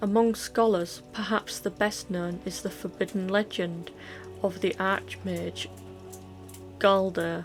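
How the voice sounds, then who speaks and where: Over music in the background, a woman with a Yorkshire accent speaks at a very slow pace. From Yorkshire, England. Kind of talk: book reading. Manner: casual, occasionally stumbling over words.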